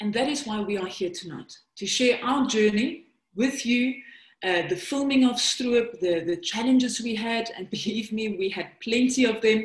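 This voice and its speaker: In a South African accent, the speaker goes at a moderate pace with ordinary pitch variation. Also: woman, fairly high pitch for a woman. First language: Afrikaans. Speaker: documentary filmmaker and presenter. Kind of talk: webinar presentation.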